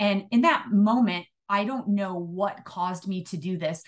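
Speaking with an American accent, a woman uses a medium pitch and ordinary pitch variation. Her voice is somewhat breathy and her pace fairly slow. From Illinois. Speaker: retired police chief. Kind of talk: interview.

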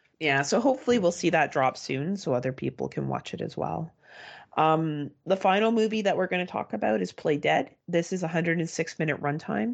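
A woman with a Canadian accent, fairly low in pitch, with vocal fry, lively intonation and a fairly quick pace, against a quiet background. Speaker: horror movie podcast co-host. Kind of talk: casual chat.

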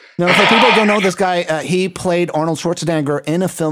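Very fast speech from a man, noticeable background noise behind it. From Puerto Rico. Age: 50s. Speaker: podcast host. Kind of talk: casual chat.

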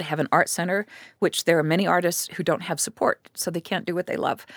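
A woman has a normal speaking voice, fairly low in pitch with fairly even intonation, recorded dry and close with no echo. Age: 60s. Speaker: writer and documentary filmmaker. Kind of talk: interview.

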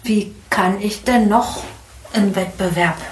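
A woman talks with lively intonation. Noticeable background noise and audible room echo surround her voice. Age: 50s. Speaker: management consultant and coach. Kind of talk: interview.

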